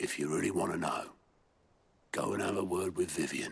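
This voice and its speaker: A man's raspy, put-on character voice at a fairly quick pace. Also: very even loudness. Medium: video game. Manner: gruff, dry.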